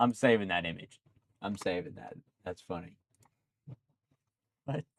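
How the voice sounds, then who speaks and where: Lively intonation and vocal fry mark this man's fairly low voice at a moderate pace. The sound is dry and close, with no echo. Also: big swings in loudness. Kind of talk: casual chat.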